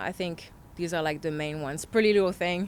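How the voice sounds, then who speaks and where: A woman with a French accent and fairly even intonation. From France. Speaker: model and influencer. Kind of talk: casual interview chat.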